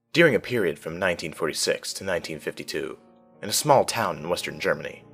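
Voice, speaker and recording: Music plays in the background. A man speaks at a very fast pace. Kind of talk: horror story narration (creepypasta reading).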